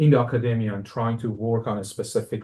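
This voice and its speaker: A man speaks with an Iranian accent at a medium pitch. The background is quiet. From Iran, Tehran. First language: Persian. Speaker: music professor, composer. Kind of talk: lecture. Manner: halting, many fillers.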